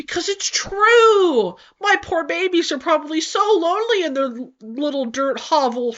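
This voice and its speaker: A whiny put-on character voice from a woman, extremely high-pitched, with very wide pitch swings at a moderate pace. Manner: pouty, whiny.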